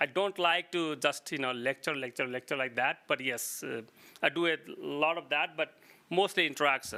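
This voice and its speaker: A man with an Indian accent, fairly high in pitch and bright, sharp in tone, at a moderate pace with ordinary pitch variation. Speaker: geologist. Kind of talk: lecture. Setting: meeting room with audience. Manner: halting, many fillers and restarts.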